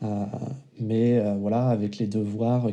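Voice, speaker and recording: A man speaks very slowly with fairly even intonation. His voice is fairly low in pitch, with a dark, mellow tone. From Vendée, western France. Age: 30s. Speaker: father and web developer. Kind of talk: casual interview. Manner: hesitant with fillers.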